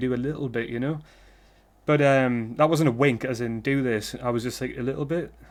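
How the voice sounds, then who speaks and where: A man's medium-pitched voice with a British accent and fairly even intonation over a quiet background. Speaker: vlogger. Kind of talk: casual monologue vlog. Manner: rambling, halting with false starts; stuttering.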